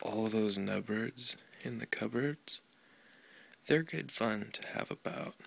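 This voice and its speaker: Soft-spoken and calm, a man talks at a very slow pace with long, frequent pauses. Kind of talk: children's book reading. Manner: soft-spoken, calm.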